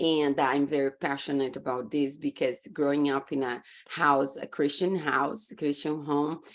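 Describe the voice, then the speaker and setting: A woman with a very deep, low pitch, fairly even intonation, a moderate pace and hardly any pauses. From Brazil. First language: Portuguese. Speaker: business coach. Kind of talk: podcast interview.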